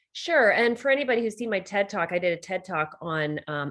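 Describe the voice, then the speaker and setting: Lively in intonation, a woman talks at a very fast pace. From Canada. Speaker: leadership coach and author. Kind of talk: interview. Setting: podcast interview. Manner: conversational, many fillers.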